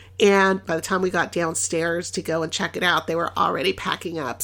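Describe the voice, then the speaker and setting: A bright, sharp, animated tone with vocal fry, in a Californian accent. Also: woman. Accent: General American, Californian. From Los Angeles, US West Coast. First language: Spanish. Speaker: podcast host. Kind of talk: casual travel monologue. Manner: animated, conversational.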